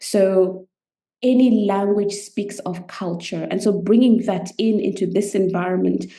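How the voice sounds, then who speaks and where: In a Zimbabwean accent, a woman speaks at a fairly slow pace with a medium pitch, a dark, mellow tone and monotone, flat intonation. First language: Shona. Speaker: medical anthropologist and coach. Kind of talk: podcast interview, personal story.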